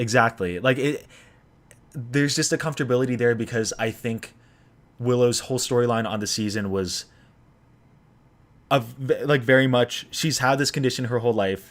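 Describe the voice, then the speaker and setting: With an American accent, a man talks at a moderate pace and medium pitch, using fairly even intonation and long, frequent pauses. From California. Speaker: YouTuber, reality TV commentator. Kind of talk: livestream chat. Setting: livestream. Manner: casual, filler-heavy with false starts.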